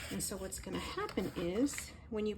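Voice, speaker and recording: A woman is speaking. Her pitch is fairly high. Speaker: crafter. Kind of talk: tutorial. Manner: halting.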